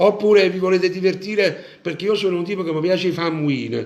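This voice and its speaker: A man in a Neapolitan accent, animated in tone, with ordinary pitch variation and audible room echo. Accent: Neapolitan Italian. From Naples, Italy. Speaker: Neapolitan singer hosting a live show. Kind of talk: casual live-stream chat.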